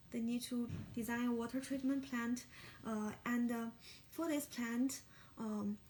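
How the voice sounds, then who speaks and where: The speaker talks at a fairly slow pace with a Chinese accent. Long pauses come often. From China. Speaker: graduate student. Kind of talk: mock job interview answer. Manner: halting, many fillers.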